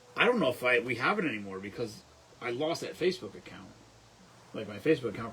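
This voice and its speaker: Noticeable background noise sits behind a man talking at a very fast pace. His pitch is medium and his intonation lively. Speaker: livestream host. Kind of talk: casual chat. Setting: live stream. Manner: animated.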